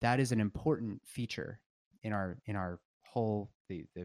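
A man speaks in a plain, everyday voice with a fairly low pitch. The very clean recording has a silent background and a dry, close sound with no echo. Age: 30s. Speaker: obstetrician and palliative care doctor. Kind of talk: casual chat.

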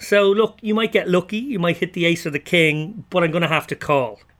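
With an Irish accent, a man speaks at a moderate pace in a high pitch, his tone bright and sharp and his intonation lively. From Ireland. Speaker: poker player and podcast host, former screenwriter. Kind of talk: casual interview chat. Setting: remote call.

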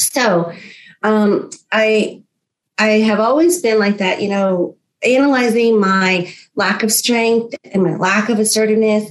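A woman with a fairly high pitch speaks at a fairly slow pace in a plain, everyday voice. Her loudness stays very even and her pitch varies in an ordinary way. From US, New York and Florida, Filipino-American family. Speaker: motivational speaker. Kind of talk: interview.

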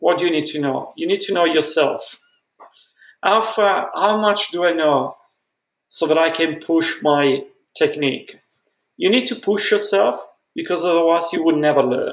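Speaking with an Italian accent at a moderate pace, the voice carries ordinary pitch variation and long, frequent pauses. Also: man, high pitch for a man. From Italy, Milan. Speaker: dentistry professor. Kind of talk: interview. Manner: halting.

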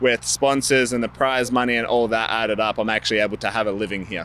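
Talking at a very fast pace, a man with an Australian accent has a bright, sharp tone, a medium pitch and fairly even intonation. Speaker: professional BMX racer. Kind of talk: interview.

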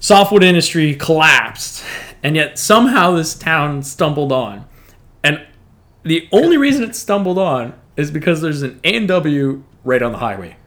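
Fairly high-pitched and lively in intonation, a man speaks at a moderate pace in an unremarkable speaking voice. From northern Canada. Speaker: guest co-host. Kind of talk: casual chat.

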